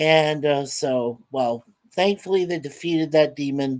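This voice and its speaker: Ordinary pitch variation in a male voice, on a very clean recording with a silent background. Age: 60s. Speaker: vlogger, film reviewer. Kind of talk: casual chat, film review. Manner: halting, many fillers.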